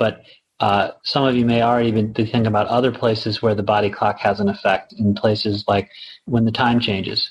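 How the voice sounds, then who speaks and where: A man's somewhat breathy medium-pitched voice, fairly quick in pace, with flat, monotone intonation and very even loudness. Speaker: pharmaceutical company representative. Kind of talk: informative talk with Q and A. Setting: online audio auditorium. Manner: conversational, hesitant with fillers.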